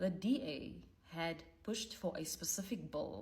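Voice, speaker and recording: Very wide pitch swings from a female speaker, set against noticeable background noise. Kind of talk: political commentary to camera. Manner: casual, conversational.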